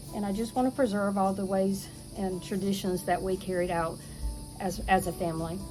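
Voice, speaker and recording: A woman at medium pitch and a moderate pace, with fairly even intonation, audible room echo and music in the background. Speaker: homesteading video host. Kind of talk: casual chat. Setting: outdoors. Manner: relaxed.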